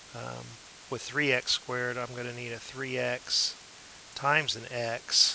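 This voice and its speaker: A man speaks at a medium pitch. Noticeable background noise runs under his voice. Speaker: math teacher. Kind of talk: tutorial. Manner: slow; hesitant, many fillers.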